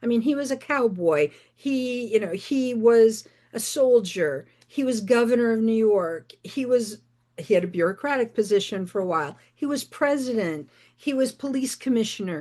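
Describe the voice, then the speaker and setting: A woman with an American accent, fairly high in pitch with a dark, mellow tone, lively intonation and a moderate pace against a quiet background. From rural northeastern Michigan. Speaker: novelist. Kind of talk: interview.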